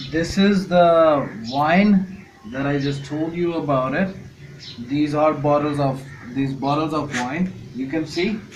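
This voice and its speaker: Speech comes at a very slow pace. Noticeable background noise and audible room echo fill the recording. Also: man, fairly high pitch for a man, ordinary pitch variation. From Pakistan. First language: not English. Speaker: home distiller, viewer. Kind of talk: video message.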